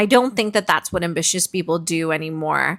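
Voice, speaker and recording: Recorded very cleanly with a silent background, the sound is dry and close with no echo. A woman speaks in a bright, sharp tone at a fairly low pitch. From Canada. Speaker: podcaster. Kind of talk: reflective solo podcast monologue. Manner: conversational, with fillers.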